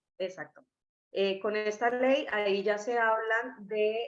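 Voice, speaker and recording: A woman speaks with a Colombian accent. Her pitch is fairly high. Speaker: scientist presenting a testing kit. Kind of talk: webinar presentation. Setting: online webinar.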